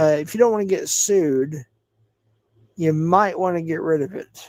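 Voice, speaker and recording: This man has a high pitch and ordinary pitch variation, speaking at a moderate pace. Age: 50s. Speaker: livestreamer. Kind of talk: casual livestream chat reacting to viewers. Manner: slurred speech when tired.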